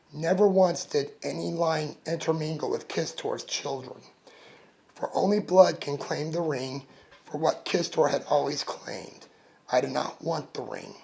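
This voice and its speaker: A man's raspy put-on character voice, fairly high in pitch, with fairly even intonation and a moderate pace. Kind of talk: audiobook narration. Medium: read story.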